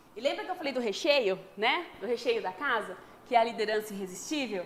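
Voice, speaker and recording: A woman is speaking. Her intonation is lively. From interior of São Paulo state, Brazil. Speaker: HR strategist and online course seller. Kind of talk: webinar sales presentation. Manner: fast.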